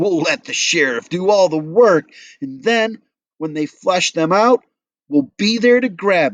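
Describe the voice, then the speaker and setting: In a put-on character voice, a man speaks at a high pitch with a whiny tone, sounding whiny and cackling. He goes at a fairly slow pace with lively intonation and big swings in loudness. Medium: read story. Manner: whiny, cackling.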